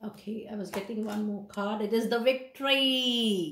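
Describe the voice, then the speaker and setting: With audible room echo around her, a woman talks at a medium pitch and shows ordinary pitch variation. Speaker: tarot reader. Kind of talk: tarot reading.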